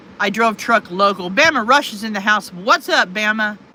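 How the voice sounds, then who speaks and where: A woman speaks at a moderate pace with a fairly high pitch. Noticeable background noise can be heard. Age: 50s. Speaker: livestreamer, retired truck driver. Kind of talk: casual live stream chat reading viewer comments.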